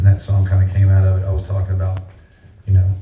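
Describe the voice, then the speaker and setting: Talking at a very fast pace in a Southern accent, a man with a very deep, low pitch and a dark, mellow, somewhat breathy tone keeps a monotone, flat intonation amid audible room echo. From North Carolina. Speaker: singer-songwriter. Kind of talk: live stage banter between songs. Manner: halting, many fillers.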